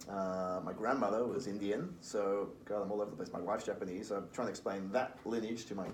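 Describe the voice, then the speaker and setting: A man with a Liverpool accent speaks very fast, with hardly any pauses, at a fairly low pitch and with fairly even intonation. Audible room echo and noticeable background noise sit around his voice. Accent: Liverpool (Scouse) English. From Liverpool, England. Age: 40s. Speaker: recruitment firm founder. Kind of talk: podcast interview.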